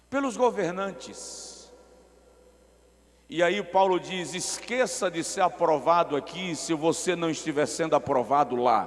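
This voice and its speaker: A man with a high pitch talks at a fairly slow pace with lively intonation. Noticeable background noise runs underneath. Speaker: guest preacher. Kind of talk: sermon. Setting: large auditorium with echo. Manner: slow, deliberately paced.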